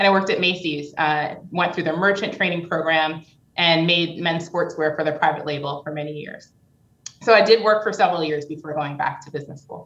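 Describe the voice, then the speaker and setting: In an ordinary speaking voice, a woman with an American accent talks at a fairly quick pace and a fairly low pitch, with fairly even intonation and big swings in loudness. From New York. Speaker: business executive. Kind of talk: interview.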